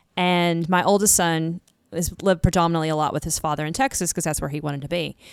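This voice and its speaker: On a very clean recording with a silent background, a woman with fairly low pitch speaks at a very fast pace with ordinary pitch variation. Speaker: podcast co-host. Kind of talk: casual chat.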